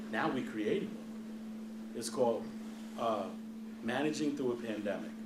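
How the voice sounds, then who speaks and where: At a moderate pace, a man with an American accent speaks through audible room echo and noticeable background noise. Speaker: hospital CEO. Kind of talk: Q&A talk to students. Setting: lecture hall with audience, no microphone. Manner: loud; animated.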